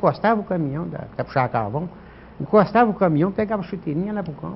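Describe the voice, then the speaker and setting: Talking at a very fast pace, the man has a high pitch and lively intonation. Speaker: former amateur footballer. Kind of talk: interview. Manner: halting.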